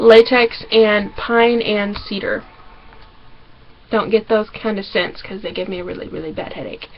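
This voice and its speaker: A woman with a Southern US accent speaks at a fairly high pitch, with ordinary pitch variation. Noticeable background noise can be heard. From Arkansas. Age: 20s. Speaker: vlogger. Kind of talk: casual vlog. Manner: fast.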